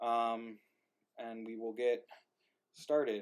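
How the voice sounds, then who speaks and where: A man mumbles. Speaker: playwright and livestream organizer. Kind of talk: casual chat. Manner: mumbling.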